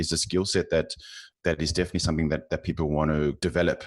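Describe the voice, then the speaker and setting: A man with a South African accent speaks at a very deep, low pitch with fairly even intonation, recorded with a dry, close sound, no echo and a quiet background. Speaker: finance professional. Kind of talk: interview. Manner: halting, many fillers and repeats.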